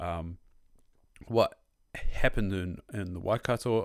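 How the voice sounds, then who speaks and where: In a Southland New Zealand accent, a man speaks at a moderate pace with a fairly low pitch on a very clean recording with a silent background. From New Zealand, Southland (Invercargill). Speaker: podcast host. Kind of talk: casual chat.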